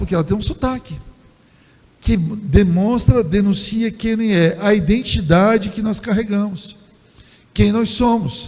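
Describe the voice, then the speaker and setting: In a room with audible room echo, a man speaks at a high pitch and a fairly slow pace, with ordinary pitch variation and long, frequent pauses. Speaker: pastor. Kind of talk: sermon. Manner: halting, with filler repetitions.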